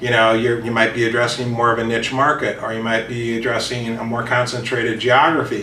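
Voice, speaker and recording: The pace is fairly quick. Noticeable background noise and audible room echo surround the voice. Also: man. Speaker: business author and consultant. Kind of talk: interview. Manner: casual with many fillers.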